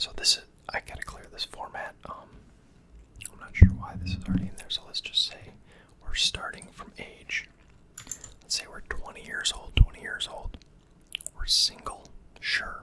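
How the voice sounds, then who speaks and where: Whispering at a moderate pace, a man leaves long, frequent pauses and swings widely in loudness amid noticeable background noise. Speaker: finance educator / ASMR creator. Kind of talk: educational talk on personal finance, ASMR-style.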